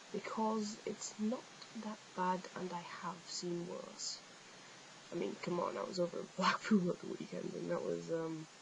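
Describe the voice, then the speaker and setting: There is noticeable background noise behind this recording. A woman with an English accent speaks at a fairly slow pace. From northeast England, Billingham near Middlesbrough. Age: 20s. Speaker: vlogger, fan page admin. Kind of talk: casual vlog, answering viewer questions. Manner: hesitant, many fillers.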